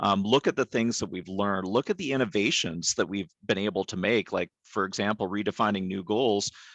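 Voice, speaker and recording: At a fairly quick pace, a man with a Canadian accent talks in an unremarkable speaking voice, with a fairly low pitch and ordinary pitch variation. The sound is dry and close, with no echo. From Canada. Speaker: behavioral health leader in psychiatry. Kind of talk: webinar presentation. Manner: frequent fillers (um, uh).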